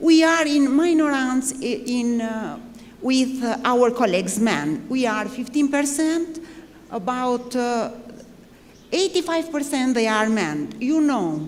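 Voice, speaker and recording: A woman's high, lively voice at a very slow pace, with noticeable background noise and audible room echo. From Albania. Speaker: army general. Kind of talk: panel speech. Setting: conference panel. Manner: halting.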